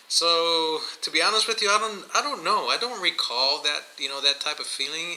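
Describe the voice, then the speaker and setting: The speaker uses a raised, projected voice with a Spanish accent and lively intonation. The pace is moderate, with noticeable background noise. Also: man, high pitch for a man. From Miami, Florida (born in Guatemala). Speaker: podcast co-host. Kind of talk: casual chat. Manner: hesitant, many fillers.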